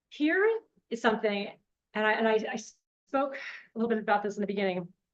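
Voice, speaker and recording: A woman is talking. She has a medium pitch. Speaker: real estate agent and social media trainer. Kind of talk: workshop presentation. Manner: loud; animated.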